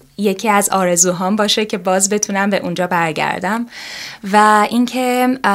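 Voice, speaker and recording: At a moderate pace, a woman talks in an ordinary speaking voice of medium pitch with fairly even intonation. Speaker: yoga teacher. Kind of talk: interview.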